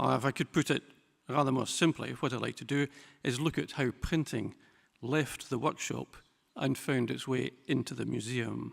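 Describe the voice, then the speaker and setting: On a very clean recording with a silent background and a dry, close sound with no echo, a man speaks at a moderate pace and medium pitch with ordinary pitch variation and vocal fry. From Scotland. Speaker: typography specialist and museum director. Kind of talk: lecture. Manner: formal.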